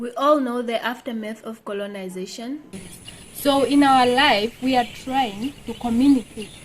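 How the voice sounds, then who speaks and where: Speech comes at a moderate pace with fairly even intonation and big swings in loudness. Noticeable background noise sits behind it. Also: woman, high pitch for a woman. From Namibia. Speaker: online video host. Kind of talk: group discussion.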